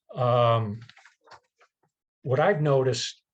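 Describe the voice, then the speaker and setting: Somewhat breathy, a man speaks with ordinary pitch variation over a quiet background. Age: 60s. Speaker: environmental committee chair, presenter. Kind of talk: presentation with slides. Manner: halting, many fillers and repetitions.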